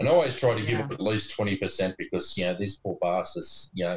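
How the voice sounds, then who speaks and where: Very fast speech amid noticeable background noise. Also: man. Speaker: farmer. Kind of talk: casual banter.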